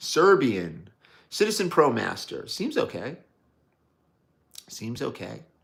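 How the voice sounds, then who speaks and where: A man with an American accent speaks at a very slow pace, with long, frequent pauses and big swings in loudness. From New York City, Brooklyn. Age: 60s. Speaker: watch enthusiast livestreamer. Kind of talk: live stream chat reading viewer comments. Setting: live stream. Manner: casual, conversational.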